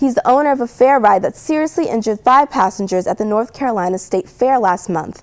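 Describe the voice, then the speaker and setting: A woman with a plain, everyday voice speaks at a fairly high pitch and a fairly quick pace, with ordinary pitch variation. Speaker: television news anchor. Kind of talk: TV news anchor read.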